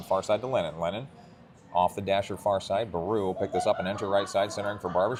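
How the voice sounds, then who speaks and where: Noticeable background noise sits behind a man with a fairly low pitch. He talks at a very fast pace with fairly even intonation. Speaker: youth hockey play-by-play broadcaster. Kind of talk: live commentary. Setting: arena mezzanine behind glass, among spectators. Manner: quiet, subdued volume.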